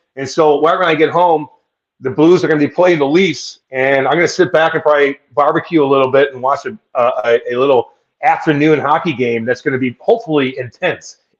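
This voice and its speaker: Speaking at a fairly quick pace with an American accent, a man uses a fairly high pitch and ordinary pitch variation. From US Midwest (Eureka, Missouri). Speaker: former pro hockey player, radio host. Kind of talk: casual chat. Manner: animated.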